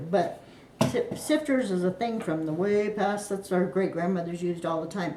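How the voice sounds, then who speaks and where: At a moderate pace, a woman speaks with lively intonation. Audible room echo and noticeable background noise surround her. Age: 60s. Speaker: home cook. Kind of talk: cooking tutorial. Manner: casual, meandering.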